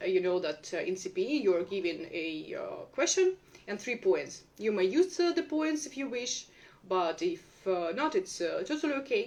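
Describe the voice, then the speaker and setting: With very wide pitch swings, a woman speaks at a high pitch and a moderate pace. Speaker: English exam teacher. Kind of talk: live stream talk. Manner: hesitant, many fillers.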